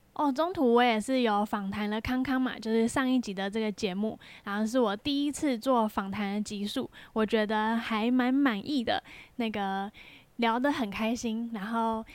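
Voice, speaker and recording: With a Taiwanese accent, a woman speaks at a fairly high pitch and fairly even intonation. The recording is very clean, with a silent background. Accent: Taiwanese Mandarin. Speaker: podcast host and amateur triathlete. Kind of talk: casual solo podcast monologue.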